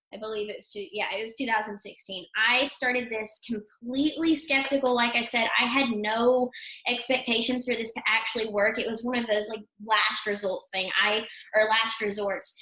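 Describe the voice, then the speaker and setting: A woman with an American accent, fairly high pitch and fairly even intonation, speaking at a moderate pace over noticeable background noise. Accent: Texas accent, stronger late at night. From Texas. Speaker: affiliate marketer. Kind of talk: webinar testimony and pitch. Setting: video webinar.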